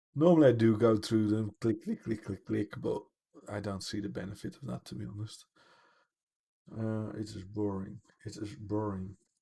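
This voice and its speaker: A man's dark, mellow, somewhat breathy voice at a moderate pace, with ordinary pitch variation, big swings in loudness and long, frequent pauses. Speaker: gaming streamer. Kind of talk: live gameplay commentary. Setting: home livestream. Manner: laid-back.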